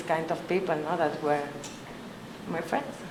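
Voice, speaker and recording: A woman speaks with a Spanish accent amid noticeable background noise and audible room echo. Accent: Spanish accent, non-native English. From Colombia. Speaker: researcher, conference speaker. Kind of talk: conference presentation. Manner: halting, many fillers.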